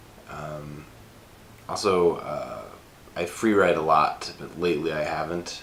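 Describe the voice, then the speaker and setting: At a fairly slow pace with fairly even intonation, the voice shows big swings in loudness and long, frequent pauses, with noticeable background noise and audible room echo. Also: man, very deep, low pitch for a man. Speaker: screenwriter vlogger. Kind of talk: casual vlog. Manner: halting, many fillers.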